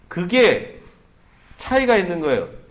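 There is audible room echo as a man speaks at a high pitch. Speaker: pastor. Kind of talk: sermon.

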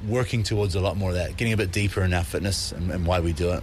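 With a New Zealand accent, the speaker talks at a very fast pace in a somewhat breathy voice. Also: man. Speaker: fitness entrepreneur and coach. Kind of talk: recorded interview.

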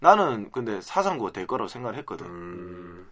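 A man at a moderate pace, quiet background. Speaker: podcast host. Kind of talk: casual chat.

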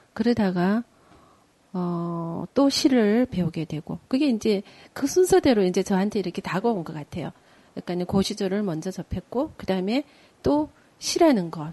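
A soft-spoken woman at medium pitch, dark and mellow in tone, with lively intonation, big swings in loudness, a moderate pace and a dry, close sound with no echo. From Geoje Island, South Korea. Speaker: sijo poet and poetry reciter. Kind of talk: casual chat.

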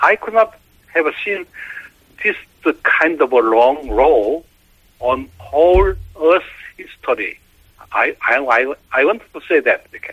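A man speaking at a very slow pace with long, frequent pauses, in a dry, close sound with no echo. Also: big swings in loudness. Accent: Korean. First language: Korean. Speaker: professor of environmental and marine science. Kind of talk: interview. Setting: phone call. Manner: halting.

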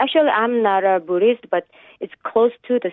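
This woman has a Korean accent and a fairly high pitch. She talks at a moderate pace. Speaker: caller, housewife. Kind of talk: radio interview. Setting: phone call.

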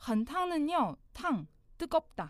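A woman with a Mandarin Chinese accent speaks at a very slow pace. Her pitch swings very widely. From China. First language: Mandarin Chinese (speaking Korean). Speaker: language teacher. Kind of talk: tutorial.

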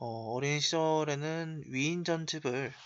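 Male voice with ordinary pitch variation. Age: 20s. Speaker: podcast host, university student. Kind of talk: solo podcast monologue. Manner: frequent filler hesitations.

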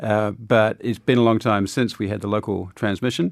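A man with a New Zealand accent at a fairly low pitch and moderate pace, with fairly even intonation, in a very clean recording with a silent background. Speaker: diplomat. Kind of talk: interview. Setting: studio.

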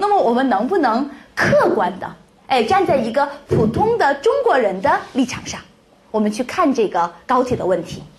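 A woman speaks loudly at a high pitch, her voice swinging very widely. Noticeable background noise and audible room echo fill the recording. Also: moderate pace. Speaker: Chinese language teacher. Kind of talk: lecture. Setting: classroom with live audience. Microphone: echo on the microphone.

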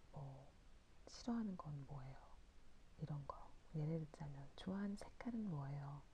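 With a very deep, low pitch and a dark, mellow, somewhat breathy tone, a woman speaks at a fairly slow pace amid audible room echo. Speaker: podcast host. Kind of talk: late-night talk monologue. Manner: halting, stumbling over words.

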